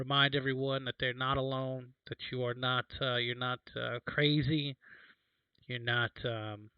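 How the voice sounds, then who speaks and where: A man talks at a fairly slow pace in a medium pitch. His intonation stays monotone and flat. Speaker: spiritual livestreamer. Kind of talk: casual livestream chat. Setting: late night livestream. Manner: hesitant, many fillers.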